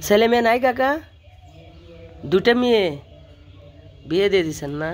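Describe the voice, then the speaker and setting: A man speaks with a high voice. The recording is very clean, with a silent background. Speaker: vlogger. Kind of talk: interview questions.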